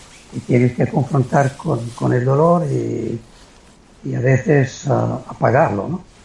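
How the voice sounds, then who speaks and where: A man talks at a fairly slow pace. Background noise is noticeable. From Italy (Liguria, near San Remo). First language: Italian (speaking Spanish). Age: 70s. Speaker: retired amateur endurance athlete. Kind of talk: interview.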